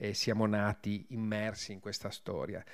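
A man speaks at a very slow pace with a fairly low pitch. The background is quiet. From Trieste, north-east Italy; Italy. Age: 50s. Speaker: war journalist. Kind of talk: talk at a public event. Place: hall. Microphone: podium.

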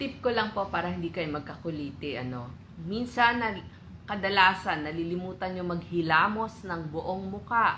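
The delivery moves at a moderate pace. Its tone is bright and sharp, with lively intonation. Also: woman, medium pitch for a woman. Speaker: co-presenter of health tips. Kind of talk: health tutorial. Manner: polite.

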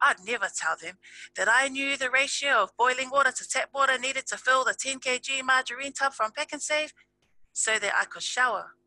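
A woman's raised, projected voice, high in pitch, with a South Auckland accent, at a fairly quick pace, over background music, with a dry sound and no echo. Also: fairly even intonation. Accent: South Auckland New Zealand. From New Zealand. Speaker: spoken word poet. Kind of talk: slam poetry performance. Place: home room. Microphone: headset.

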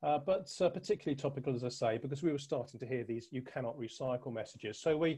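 The voice has a dark, mellow tone, is somewhat breathy, and shows ordinary pitch variation over a quiet background. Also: man. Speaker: presenter. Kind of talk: presentation. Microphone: webcam.

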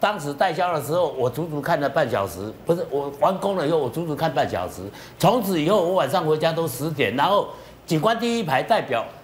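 At a fairly quick pace, a man speaks with lively intonation and fairly high pitch over light background noise. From Taiwan. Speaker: property commentator. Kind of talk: TV panel discussion. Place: studio.

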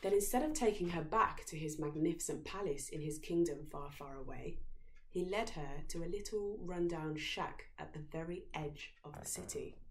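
A woman with a low-pitched voice speaks with ordinary pitch variation over audible room echo. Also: moderate pace.

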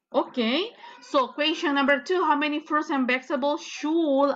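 A raised, projected voice with a bright, sharp tone and lively intonation comes through over light background noise. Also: woman. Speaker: English teacher. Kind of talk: online lesson instruction. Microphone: video call.

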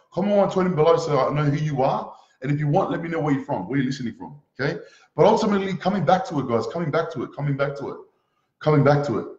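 A fairly high, somewhat breathy male voice, animated in tone, at a very fast pace with ordinary pitch variation, audible room echo and a quiet background. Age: 20s. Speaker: motivational speaker. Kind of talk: motivational talk. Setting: live stream. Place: home room. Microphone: webcam.

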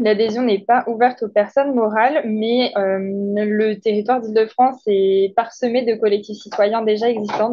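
This woman's voice sits fairly high in pitch and moves at a moderate pace. Her intonation is monotone and flat. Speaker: network support officer for energy projects. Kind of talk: presentation.

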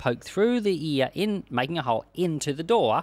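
A man's voice with very wide pitch swings, in a dry sound with no echo. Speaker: church pastor / Bible teacher. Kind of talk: casual teaching talk explaining a Bible passage. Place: home room. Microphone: studio mic.

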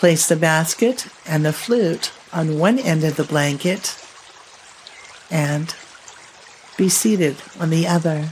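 A calm, soothing tone with ordinary pitch variation at a very slow pace, with long, frequent pauses and light background noise. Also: woman, fairly low pitch for a woman. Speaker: color therapist and podcast host; podcast host. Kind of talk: guided meditation narration. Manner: slow, calm, soothing. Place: home room. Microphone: studio mic.

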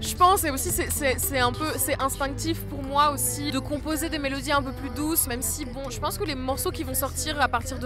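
A woman is speaking over clear background music. The sound is dry, with no echo. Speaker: singer-songwriter. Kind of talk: interview answer. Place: open country. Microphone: handheld.

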